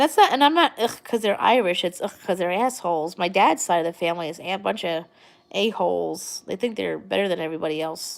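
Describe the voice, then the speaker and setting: Speaking at a fairly quick pace with lively intonation, a woman with an American accent has a fairly low pitch and some vocal fry. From New York, Long Island. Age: 30s. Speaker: livestream vlogger. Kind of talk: casual live chat. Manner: rambling, hesitant with fillers.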